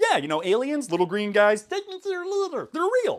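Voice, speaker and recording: This put-on character voice sits high in pitch, moving at a moderate pace with very wide pitch swings. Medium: comedy sketch. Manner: hesitant, stammering.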